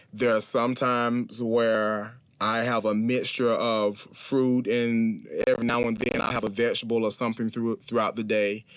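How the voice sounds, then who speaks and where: Speaking in a Southern US accent, a man keeps a monotone, flat intonation. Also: medium pitch for a man, moderate pace. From US South, small-town South Carolina. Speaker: vegan bodybuilder and motivational speaker. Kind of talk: interview.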